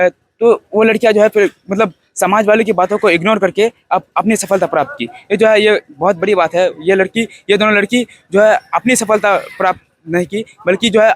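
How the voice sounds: A man's high-pitched voice at a fairly quick pace with few pauses, fairly even intonation, and a dry, close sound with no echo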